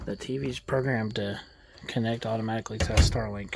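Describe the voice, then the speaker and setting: A quiet man with a medium pitch, lively intonation and a fairly quick pace. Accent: American. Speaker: mobile DJ and vlogger. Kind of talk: casual vlog narration. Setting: outdoors at night, camping trailer by a lake. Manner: quiet, hushed.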